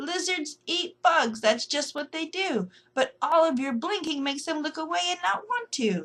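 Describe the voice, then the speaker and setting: A woman in a squeaky, high put-on character voice at a moderate pace. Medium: read story.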